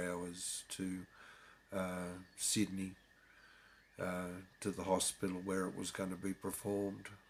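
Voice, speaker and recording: A man with an Australian accent speaks at a very slow pace in a very deep, low voice with monotone, flat intonation, on a very clean recording with a silent background. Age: 60s. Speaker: convert sharing his story. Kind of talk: personal testimony. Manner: halting, many fillers.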